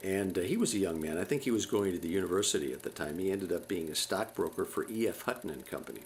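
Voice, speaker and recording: Speaking at a very fast pace, a man uses a fairly low pitch with ordinary pitch variation. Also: hardly any pauses. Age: 70s. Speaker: home movie narrator. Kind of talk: casual narration over home movies. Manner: halting, many fillers and repeats.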